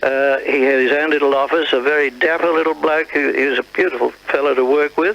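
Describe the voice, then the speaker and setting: Over noticeable background noise, a speaker with an Australian accent talks at a fairly quick pace in a monotone, flat intonation, with very even loudness and hardly any pauses. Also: man. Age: 70s. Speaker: retired radio announcer. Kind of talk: interview reminiscence. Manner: halting.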